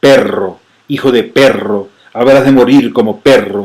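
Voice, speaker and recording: In a put-on character voice, a man shouts and bellows hoarsely at a medium pitch and a fairly slow pace. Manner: roaring, menacing scream.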